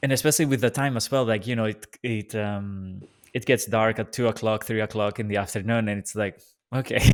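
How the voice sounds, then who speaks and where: A man's fairly quick speech with a Greek accent and fairly even intonation. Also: medium pitch for a man. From Greece. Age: 20s. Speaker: podcast host. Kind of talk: casual interview chat.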